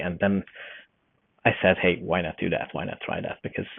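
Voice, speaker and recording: Speaking with a slight Hungarian accent, a man uses a very deep, low pitch and fairly even intonation. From Hungary. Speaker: forester and newsletter journalist. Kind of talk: podcast interview. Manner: hesitant, many fillers.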